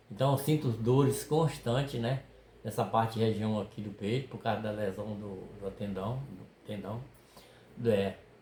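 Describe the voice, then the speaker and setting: This man's voice has a dark, mellow tone at a medium pitch and is somewhat breathy. His loudness swings widely. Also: ordinary pitch variation, fairly slow pace. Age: 60s. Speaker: fishing video creator, retired worker. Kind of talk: casual chat. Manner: halting.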